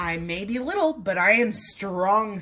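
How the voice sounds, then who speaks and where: A woman puts on a squeaky character voice at a medium pitch. She speaks at a moderate pace. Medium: read story.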